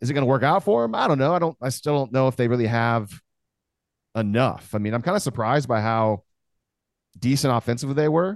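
A man talks at a very fast pace broken by long, frequent pauses, his medium pitch showing ordinary variation, with very even loudness and a dry, close sound with no echo. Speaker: guest co-host, podcaster. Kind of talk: casual chat.

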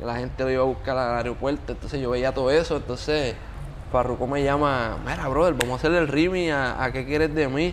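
Audible room echo surrounds a man speaking fairly quickly with fairly even intonation. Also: medium pitch for a man. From Puerto Rico (Yauco). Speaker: music producer and singer. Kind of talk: casual interview chat. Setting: beach club.

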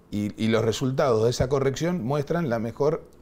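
At a moderate pace, a man talks in a medium-pitched voice with a dark, mellow tone. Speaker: politician. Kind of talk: interview. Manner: halting.

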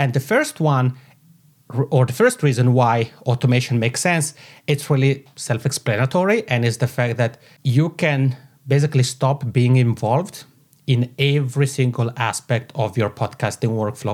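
A man's medium-pitched, somewhat breathy voice with an Italian accent, ordinary pitch variation and a moderate pace. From Italian-speaking Switzerland. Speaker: podcast strategist. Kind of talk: interview. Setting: home office. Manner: animated.

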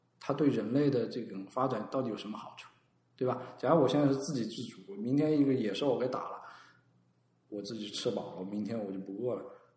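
A man speaks with a dark, mellow tone and ordinary pitch variation, with audible room echo around him. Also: medium pitch for a man, fairly quick pace, big swings in loudness. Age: 30s. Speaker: designer and design consultant. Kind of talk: casual chat.

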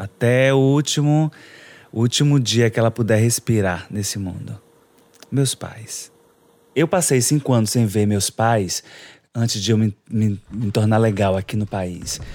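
Speaking at a medium pitch with ordinary pitch variation, a man leaves long, frequent pauses in a dry, close recording with no echo. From Salvador, Bahia, Brazil. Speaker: house cleaner. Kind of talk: personal interview narrative.

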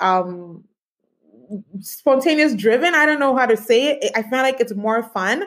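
A plain, everyday voice from a woman at a fairly slow pace with ordinary pitch variation. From Canada. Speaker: tech entrepreneur. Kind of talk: interview. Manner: many filler words.

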